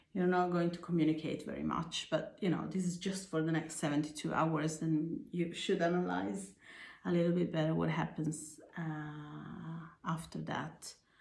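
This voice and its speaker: A woman speaks at a moderate pace with a very deep, low pitch, fairly even intonation and vocal fry, with audible room echo around her voice. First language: not English. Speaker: tarot reader. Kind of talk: tarot reading. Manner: halting, with fillers.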